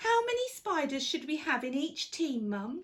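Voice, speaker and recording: A woman performs a put-on character voice that is squeaky and high-pitched, with very wide pitch swings at a moderate pace. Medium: read story. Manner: earnest, inquisitive.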